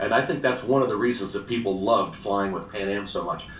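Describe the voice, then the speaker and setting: Room echo can be heard around this man. He talks fairly quickly, his pitch varying in an ordinary way. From Brazil and Australia. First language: Portuguese. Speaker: retired flight attendant. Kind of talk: interview.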